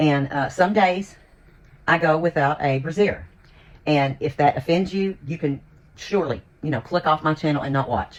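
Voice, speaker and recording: A very deep, low female voice with an American accent, at a moderate pace and with ordinary pitch variation. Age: 60s. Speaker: lifestyle vlogger. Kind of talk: casual vlog chat.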